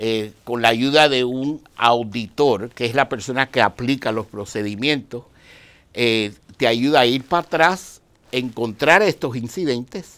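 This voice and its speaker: A man with a normal speaking voice talks at a fairly slow pace, his medium pitch showing ordinary variation. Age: 60s. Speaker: dianetics practitioner; interview guest. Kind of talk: interview. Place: studio. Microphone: lapel.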